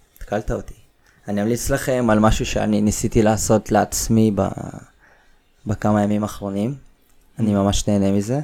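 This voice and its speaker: A man talks in a dark, mellow tone at a fairly low pitch, with a monotone, flat delivery. His pace is moderate, with long, frequent pauses. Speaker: climbing gym owner. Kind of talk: casual chat.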